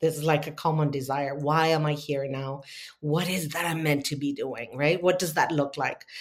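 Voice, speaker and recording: A woman talks in a very deep, low pitch with monotone, flat intonation. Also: moderate pace. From Argentina. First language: Spanish. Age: 50s. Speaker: spiritual teacher and healer. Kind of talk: interview. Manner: halting.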